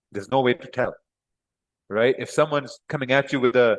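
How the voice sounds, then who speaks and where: A man with a Pakistani accent speaks fairly quickly at a fairly high pitch, the sound dry and close with no echo. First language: Urdu. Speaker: trading teacher. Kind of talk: live class. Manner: casual.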